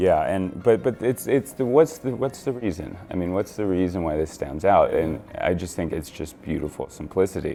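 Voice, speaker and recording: A man speaks at a moderate pace with hardly any pauses, his very deep voice swinging very widely in pitch over music in the background. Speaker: magician. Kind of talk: interview answer.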